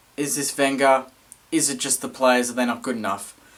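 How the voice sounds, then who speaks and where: Here a man is speaking. He has an Australian accent. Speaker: football fan vlogger. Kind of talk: match review vlog. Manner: fast.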